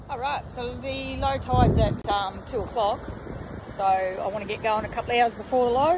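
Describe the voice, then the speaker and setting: A woman's voice at a moderate pace with ordinary pitch variation, dry with no echo, over noticeable background noise. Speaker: travel vlogger. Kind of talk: casual vlog chat. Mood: cheerful, relaxed. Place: beach. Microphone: phone near.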